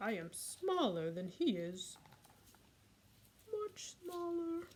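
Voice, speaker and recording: A woman's cartoonish character voice, extremely high and very slow. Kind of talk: puppet story reading.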